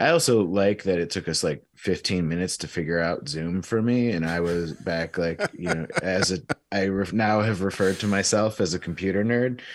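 A man with a Michigan accent and a very deep, low pitch, at a moderate pace with ordinary pitch variation and hardly any pauses, on a very clean recording with a silent background. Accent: Midwestern American (Michigan). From Michigan (Clarkston, Detroit area). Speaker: veterinarian. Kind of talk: casual chat.

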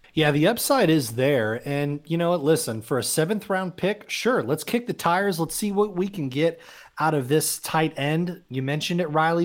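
Lively intonation marks a plain, everyday voice at a moderate pace. The recording is very clean and the background silent. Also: man. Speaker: sports podcast co-host. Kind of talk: casual sports talk.

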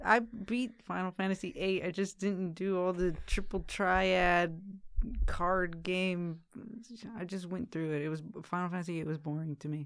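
On a very clean recording with a silent background, a woman speaks in a plain, everyday voice, fairly low in pitch with fairly even intonation. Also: moderate pace. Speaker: returning podcast guest. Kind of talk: casual chat.

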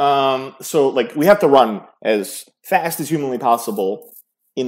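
Very clean recording, silent background, a man's fairly high-pitched voice. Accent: New York. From New York City, born in Serbia. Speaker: startup founder. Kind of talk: interview.

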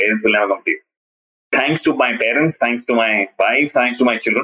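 Bright and sharp in tone, a man talks at a fairly quick pace and medium pitch with fairly even intonation. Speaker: parenting coach. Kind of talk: interview storytelling.

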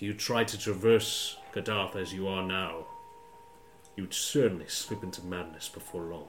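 A man with a very deep, low voice speaks at a moderate pace. His pitch varies in an ordinary way over noticeable background noise. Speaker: game master voicing a monster character. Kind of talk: tabletop roleplaying game, in-character dramatic monologue as a monster and the Warden.

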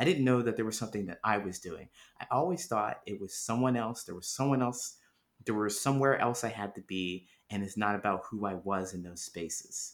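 A man with a normal speaking voice talks at a moderate pace in a fairly low pitch with ordinary variation, on a very clean recording with a silent background. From Ohio, US Midwest. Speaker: author and speaker on loneliness. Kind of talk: interview.

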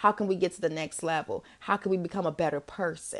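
At a fairly quick pace, a woman with a fairly low pitch uses an unremarkable speaking voice with fairly even intonation. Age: 30s. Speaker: podcast host. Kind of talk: casual solo advice talk.

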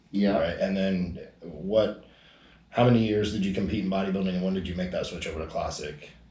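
The pace is fairly quick. The voice sounds somewhat breathy. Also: man, fairly low pitch for a man. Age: 30s. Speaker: podcast host, bodybuilder. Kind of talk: casual chat. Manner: casual, profane, energetic.

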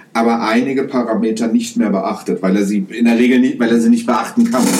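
A man of medium pitch speaks with lively intonation, and audible room echo surrounds his voice. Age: 30s. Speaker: podcast host, private pilot. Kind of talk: explanatory solo podcast narration. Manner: casual with frequent fillers.

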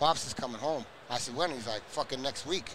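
This man talks very fast at a medium pitch. His intonation stays fairly even. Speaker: nephew of former prisoner, advocate. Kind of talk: casual interview.

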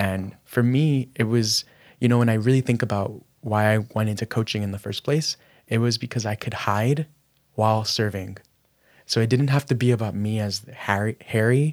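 A soft-spoken man talks at a moderate pace with a medium pitch. His intonation is fairly even, and the sound is dry and close with no echo. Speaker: lifestyle and business coach. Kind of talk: casual interview chat.

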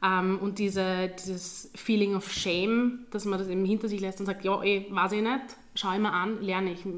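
A woman's medium-pitched voice, moderate in pace and monotone, with flat intonation. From Austria, Graz (Styria). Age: 20s. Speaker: teacher. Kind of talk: interview.

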